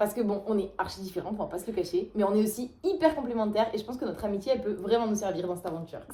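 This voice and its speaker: Speech comes at a very fast pace with hardly any pauses, in a slight Toulouse accent with ordinary pitch variation. Background noise is noticeable. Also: woman, medium pitch for a woman. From Toulouse, France. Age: 20s. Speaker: pastry chef. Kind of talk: casual talk to camera, casting video.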